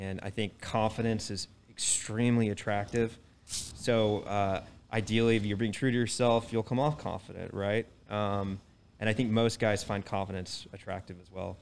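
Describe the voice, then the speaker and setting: With an American accent, a man speaks at a moderate pace in a fairly low pitch, his intonation monotone and flat while his loudness swings widely. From Texas, Dallas. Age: 30s. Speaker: real estate professional. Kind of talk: casual chat. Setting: live audience.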